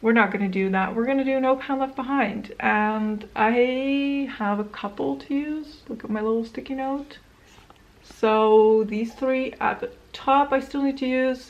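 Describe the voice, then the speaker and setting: With ordinary pitch variation, a woman speaks at a fairly slow pace and a fairly high pitch. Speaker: beauty vlogger. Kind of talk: casual vlog talk. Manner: halting, tripping over words.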